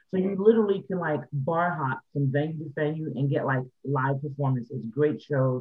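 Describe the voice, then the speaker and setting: Talking at a fairly quick pace with hardly any pauses, an ordinary speaking voice with an American accent shows ordinary pitch variation. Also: man, fairly high pitch for a man. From New York City, the Bronx. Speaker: artist and songwriter, label owner. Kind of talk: casual interview.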